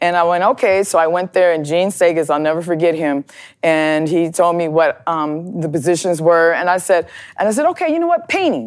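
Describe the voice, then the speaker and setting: Recorded very cleanly with a silent background, a woman with an American accent uses an unremarkable speaking voice at a fairly low pitch and a fairly quick pace. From US Midwest, Chicago and Minneapolis. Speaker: plumber and pipe fitter, advocate for women in trades. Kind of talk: interview. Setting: studio.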